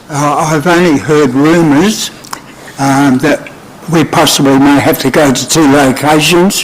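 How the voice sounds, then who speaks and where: Fairly slow speech from a man with an Australian accent, fairly high in pitch, with ordinary pitch variation and noticeable background noise. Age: 80s+. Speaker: carpet bowls coach. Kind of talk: public deputation.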